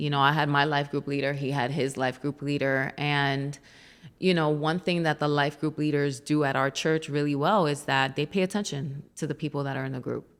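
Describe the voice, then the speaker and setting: A woman speaks in a very deep, low pitch with an American accent. The recording is very clean, with a silent background. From New York. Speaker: church youth leader. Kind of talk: casual chat.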